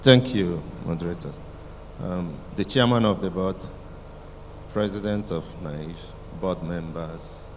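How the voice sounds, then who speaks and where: A man's very deep, low voice with lively intonation at a fairly slow pace, with long, frequent pauses and audible room echo. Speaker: panelist valuer. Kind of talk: conference presentation.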